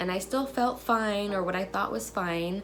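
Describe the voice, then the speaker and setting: A woman's medium-pitched voice at a moderate pace, with music playing in the background. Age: young. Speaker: military spouse and mother. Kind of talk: personal story told to camera.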